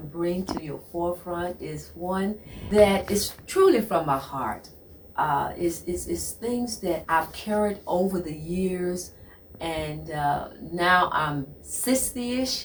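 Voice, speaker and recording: There is noticeable background noise in this clip. Through it, a woman talks at a very slow pace. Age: 60s. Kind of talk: motivational talk. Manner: repetitive, halting; animated.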